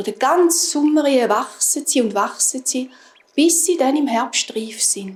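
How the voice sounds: Woman with a high pitch, lively intonation, a slightly husky edge and a fairly slow pace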